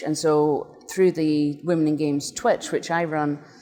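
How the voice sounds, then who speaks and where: Speaking at a fairly slow pace, a woman with a Scottish accent uses a very deep, low pitch in a flat monotone. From Scotland, northeast (Doric-speaking area). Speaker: games designer and nonprofit volunteer. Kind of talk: interview.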